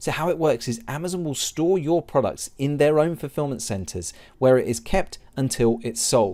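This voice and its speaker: A man with an English accent speaks at a moderate pace with hardly any pauses, his fairly high voice dark and mellow in tone and lively in intonation, on a very clean recording with a silent background. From England. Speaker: online seller and business coach. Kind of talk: tutorial.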